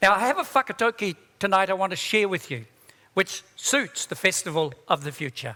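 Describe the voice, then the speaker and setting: A man speaks in a raised, projected voice with a high pitch. His tone is bright and sharp, and his intonation is lively. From New Zealand, East Coast of the North Island (Māori). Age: 70s. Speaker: keynote speaker, tech entrepreneur. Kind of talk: conference talk. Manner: casual, humorous.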